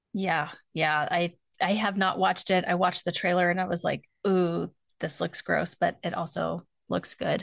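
Against a quiet background, a woman with a fairly low pitch and vocal fry speaks at a moderate pace in an animated tone, her loudness very even. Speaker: forensic psychologist podcast host. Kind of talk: casual conversational podcast discussion. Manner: animated, laughs often.

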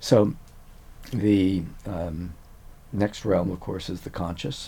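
Very deep and low, this man's voice has a dark, mellow tone. It is somewhat breathy and moves at a fairly slow pace. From Louisiana, Cajun country (Eunice). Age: 70s. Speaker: neuroscientist. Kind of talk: casual interview.

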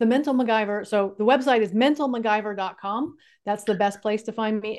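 A woman with an American accent and a plain, everyday voice talks at a fairly quick pace with ordinary pitch variation against a quiet background. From California. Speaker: life coach and author. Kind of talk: interview.

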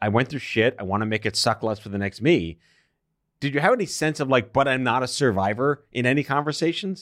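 An unremarkable speaking voice from a man at medium pitch, with lively intonation, a fairly quick pace and a very clean recording against a silent background. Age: 40s. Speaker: podcast host, cancer survivor. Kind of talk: interview. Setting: studio.

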